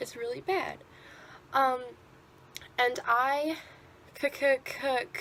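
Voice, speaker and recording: A woman's voice, with ordinary pitch variation, is heard amid noticeable background noise. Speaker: vlogger who stutters. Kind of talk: personal video commentary.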